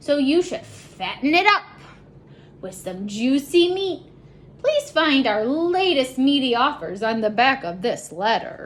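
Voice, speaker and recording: A woman uses a put-on character voice with a high pitch, speaking at a fairly slow pace. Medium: read story. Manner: greedy, sly.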